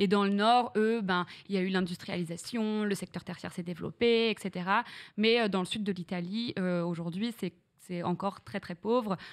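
Against a quiet background, a woman with a medium pitch speaks at a moderate pace with fairly even intonation. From northern France (Reims, Champagne); northern France. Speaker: streamer; podcast guest, streamer. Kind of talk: casual interview chat. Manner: hesitant, many fillers. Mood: relaxed, storytelling. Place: studio. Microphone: studio mic.

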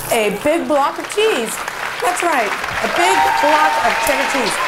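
A woman's voice against crowd noise in the background. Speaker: home cooking host. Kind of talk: casual cooking tutorial. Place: kitchen. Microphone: lapel.

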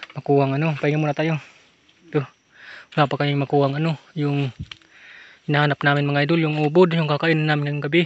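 A man speaks at a very fast pace in a monotone, flat voice, with dry sound and no echo. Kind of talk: casual vlog chat. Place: forest. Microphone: phone near.

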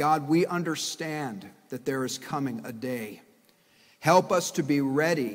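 The pitch of this man shifts in an ordinary way. He keeps a fairly slow pace. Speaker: pastor. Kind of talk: sermon. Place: church. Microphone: podium.

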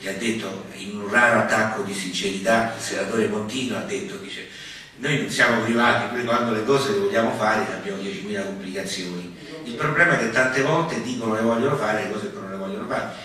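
A fairly quick, fairly low-pitched male voice with ordinary pitch variation and strong room echo

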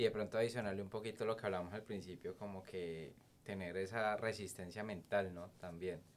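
An ordinary speaking voice comes from a man with a fairly low pitch. He speaks at a fairly quick pace with fairly even intonation. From Colombia, Cali. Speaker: podcast host. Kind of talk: interview conversation. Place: studio. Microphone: studio mic.

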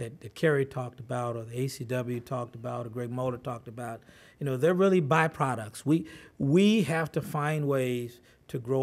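At a moderate pace, a man speaks with ordinary variation in pitch. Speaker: presenter. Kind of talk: talk to an audience. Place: meeting room. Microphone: podium.

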